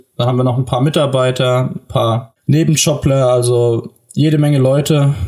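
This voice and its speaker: A man's somewhat breathy, medium-pitched voice, dark and mellow in tone, at a moderate pace with fairly even intonation. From southern Hesse, Germany. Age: 20s. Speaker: farmer's son and agriculture student. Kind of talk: podcast interview. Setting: remote call from home office. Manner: frequent fillers (äh, ähm).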